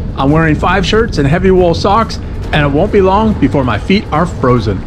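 Music plays in the background as a man speaks at a moderate pace. His pitch is high, with lively intonation. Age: 50s. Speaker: recreational cyclist. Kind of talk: casual vlog narration.

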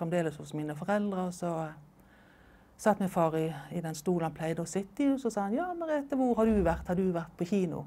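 Here a woman talks at a fairly quick pace with lively intonation. Her tone is dark and mellow. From Norway. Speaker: oral history interviewee; interviewee. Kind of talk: life story interview. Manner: halting, with fillers and repetitions. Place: home room. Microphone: lapel.

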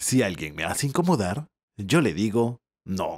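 Calm and gentle in tone, a man's voice carries vocal fry. His pitch swings very widely, and the sound is dry and close with no echo. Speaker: storyteller. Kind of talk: bedtime story narration. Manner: calm, gentle storyteller pacing.

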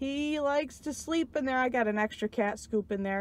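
Dry and echo-free, this recording has a woman speaking at a moderate pace with a high pitch. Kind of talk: casual vlog chat. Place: car. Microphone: phone near.

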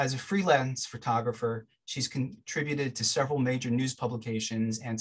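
Male speech, somewhat breathy, its intonation fairly even. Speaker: event organizer. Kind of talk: event introduction. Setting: video call. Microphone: video call.

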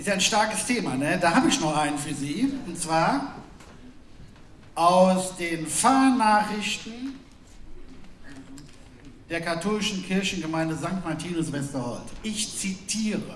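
A man's high, fairly bright voice with lively intonation, a fairly slow pace and long, frequent pauses, in audible room echo

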